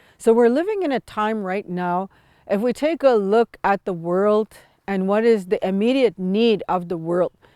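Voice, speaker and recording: In a very clean recording with a silent background and a dry, close sound with no echo, a woman speaks at a medium pitch with ordinary pitch variation. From Sweetgrass First Nation, central Saskatchewan, Canada. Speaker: traditional teacher and healer. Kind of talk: spiritual teaching talk. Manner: calm, unhurried, with hesitations.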